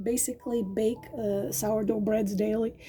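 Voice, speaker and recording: Somewhat breathy, the voice moves fairly slowly with monotone, flat intonation. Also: woman. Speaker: tarot reader. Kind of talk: tarot reading monologue. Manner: hesitant, many fillers.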